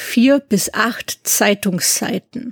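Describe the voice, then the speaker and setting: In a dry, close recording with no echo, a woman speaks at a fairly high pitch with lively intonation. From Swabia, southern Germany (near Ulm). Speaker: musicologist and doctoral researcher. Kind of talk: interview.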